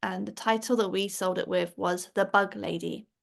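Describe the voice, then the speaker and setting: At a moderate pace, someone speaks with an English accent against a quiet background. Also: woman. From England. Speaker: children's book author. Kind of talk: interview.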